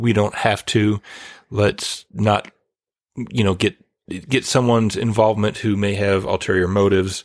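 A man with a plain, everyday voice speaks at a fairly slow pace in a fairly low pitch, his loudness very even and his intonation fairly even. The recording is very clean, with a silent background. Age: younger than 48. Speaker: podcast co-host, horror film reviewer. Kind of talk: casual chat.

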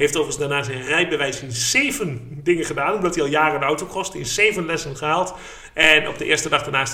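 Noticeable background noise and audible room echo surround a man who talks at a very fast pace. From eastern Netherlands, Haaksbergen. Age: 30s. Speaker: podcast host. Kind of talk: casual chat.

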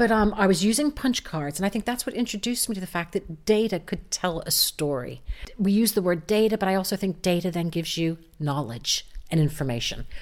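A woman with an American accent has an unremarkable speaking voice. Her pitch is medium and her intonation lively. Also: fairly quick pace. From United States. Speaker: digital marketing entrepreneur. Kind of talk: interview.

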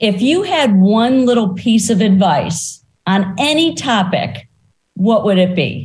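A somewhat breathy woman's voice at a very slow pace, with very wide pitch swings and very even loudness. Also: medium pitch for a woman. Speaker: podcast host. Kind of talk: casual interview conversation.

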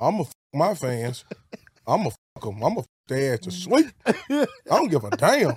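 A man with a fairly high pitch moves through very wide pitch swings. His pace is moderate, broken by long, frequent pauses. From Alabama, Birmingham. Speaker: social media comedian. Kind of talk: casual chat.

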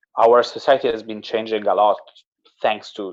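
An Italian accent at a moderate pace. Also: man. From Italy. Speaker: salesperson. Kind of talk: interview. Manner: halting.

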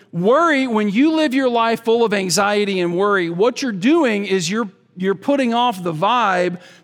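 High pitch and lively intonation from a male speaker, delivered at a moderate pace. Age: 40s. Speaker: guest preacher. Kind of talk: sermon.

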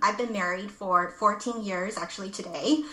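A woman speaks at a fairly slow pace with an American accent, with noticeable background noise and audible room echo. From Los Angeles, US. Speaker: life coach. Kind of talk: interview.

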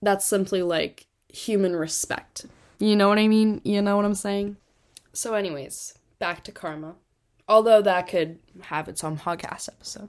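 On a very clean recording with a silent background, a woman with an ordinary speaking voice talks at a moderate pace in a medium pitch with fairly even intonation. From Connecticut, US. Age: 18. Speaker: podcast host. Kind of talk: casual faith talk monologue. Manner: casual, many fillers.

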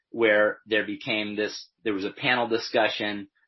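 A man speaks in an ordinary speaking voice at medium pitch and a fairly slow pace. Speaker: nonprofit co-founder. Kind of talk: interview conversation.

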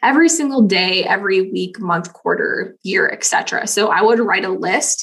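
In an American accent, a woman with an ordinary speaking voice talks with lively intonation. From US Midwest, rural Missouri. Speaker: systems consultant, online business manager. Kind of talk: podcast interview.

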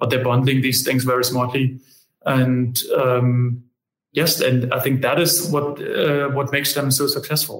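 A man speaks at a fairly slow pace and a medium pitch, somewhat breathy. His intonation is monotone and flat, his loudness very even. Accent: German. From Germany. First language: German. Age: 30s. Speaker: company managing director. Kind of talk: interview conversation.

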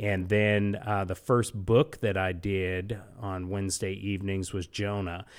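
A man's unremarkable speaking voice, fairly low in pitch and fairly even in intonation, with hardly any pauses, on a very clean recording with a silent background. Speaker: executive pastor, Bible study leader. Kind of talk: interview with Bible teaching.

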